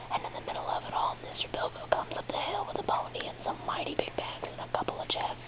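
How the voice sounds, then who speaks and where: Someone whispers over noticeable background noise. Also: woman. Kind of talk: whispered audiobook-style reading. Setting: recorded at home with rainstorm and thunder audible. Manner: whispered, soft-spoken.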